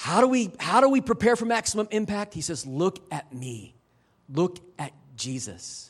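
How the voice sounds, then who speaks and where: Over a silent background on a very clean recording, a man with a high pitch speaks at a moderate pace, his loudness swinging widely and his pitch making very wide swings. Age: 50s. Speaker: missionary preacher. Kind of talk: sermon.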